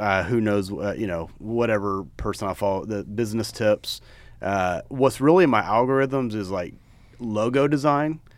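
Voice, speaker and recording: A man with a normal speaking voice talks at a moderate pace and fairly low pitch with ordinary pitch variation. The recording is very clean, with a silent background. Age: 40s. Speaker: podcast co-host, apparel business co-founder. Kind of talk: casual chat.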